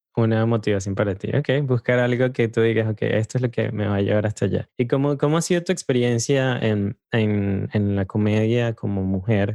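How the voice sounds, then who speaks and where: This man has a dark, mellow tone at medium pitch and speaks at a moderate pace with hardly any pauses. The sound is dry and close, with no echo. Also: ordinary pitch variation. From Venezuela. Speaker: podcast host. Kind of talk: interview conversation; scripted intro. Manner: halting, repeats words.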